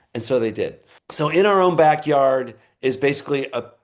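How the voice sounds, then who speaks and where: Against a quiet background, a man with a normal speaking voice talks at a moderate pace and medium pitch, using ordinary pitch variation. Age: 60s. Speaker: conservation nonprofit director. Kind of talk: interview.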